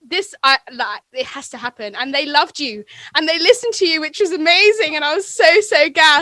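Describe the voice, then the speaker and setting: A woman speaks in a raised, projected voice at an extremely high pitch, her tone bright and sharp, moving at a fairly quick pace with hardly any pauses, very wide pitch swings and big swings in loudness. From England. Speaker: podcaster, radio presenter and musician. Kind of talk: casual chat. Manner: animated, fast.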